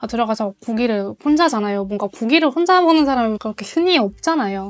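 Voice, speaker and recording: A woman talks at a fairly quick pace in a fairly high pitch. Her pitch varies in an ordinary way. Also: very clean recording, silent background. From Mongolia, Ulaanbaatar. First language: Mongolian (speaking Korean). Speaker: freelance interpreter. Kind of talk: interview.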